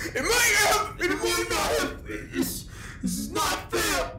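A whiny, put-on character voice delivers the words at a fairly slow pace. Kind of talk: comic amateur audio drama. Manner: whiny, self-pitying, upset.

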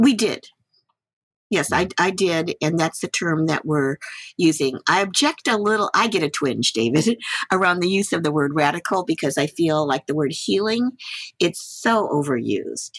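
At a moderate pace, a woman speaks in a plain, everyday voice with a fairly low pitch and very even loudness, the sound dry and close with no echo. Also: lively intonation. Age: 60s. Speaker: Buddhist teacher and community activist. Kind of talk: interview conversation.

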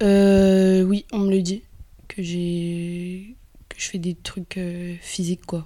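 Very slowly and with long, frequent pauses, a woman speaks in a monotone, flat way. Her voice is medium-pitched, with a dark, mellow tone. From Algeria, Kabylie. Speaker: actress. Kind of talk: casual interview. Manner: hesitant.

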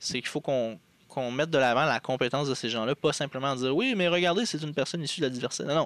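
A man at a very fast pace, fairly high in pitch with ordinary pitch variation, in a very clean recording with a silent background. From Quebec, Abitibi. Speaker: political party member. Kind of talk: interview. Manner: halting.

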